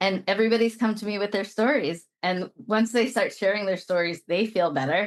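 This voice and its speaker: This woman has an ordinary speaking voice at a medium pitch, talking at a fairly quick pace with lively intonation. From Brooklyn, New York. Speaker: lawyer and executive coach, author. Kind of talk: interview.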